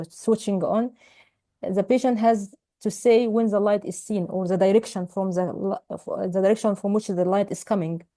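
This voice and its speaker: In an Arabic accent, the voice has a dark, mellow tone and fairly even intonation, moving at a moderate pace against a quiet background. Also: woman. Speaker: ophthalmology teacher. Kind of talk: lecture.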